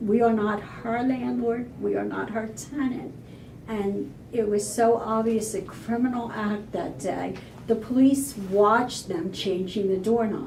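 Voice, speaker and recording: Pitched fairly high, a woman talks at a fairly slow pace with ordinary pitch variation, amid audible room echo and noticeable background noise. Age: 60s. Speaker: homeowner sharing her story. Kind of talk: interview.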